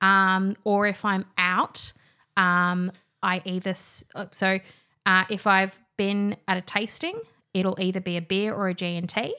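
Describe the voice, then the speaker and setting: At a fairly slow pace, a woman speaks with an Australian accent. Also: medium pitch for a woman, very clean recording, silent background. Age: 20s. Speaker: wine industry professional. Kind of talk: casual chat. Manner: animated.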